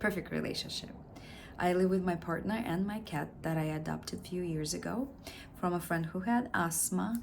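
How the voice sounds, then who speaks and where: A woman with a Russian accent speaks at a fairly low pitch with ordinary pitch variation, and audible room echo surrounds her voice. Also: moderate pace. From Russia (Siberia). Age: 40s. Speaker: actor. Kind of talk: audition self-introduction.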